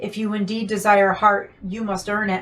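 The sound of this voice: A woman's gruff, put-on character voice at medium pitch, monotone and flat in intonation, at a moderate pace.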